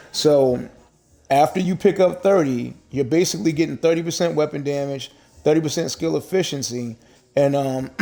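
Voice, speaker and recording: A man speaks at a moderate pace in a fairly high voice with a dark, mellow tone. His pitch varies in an ordinary way. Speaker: gaming streamer. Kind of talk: live gameplay commentary and build explanation. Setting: live stream. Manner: hesitant, many fillers; casual.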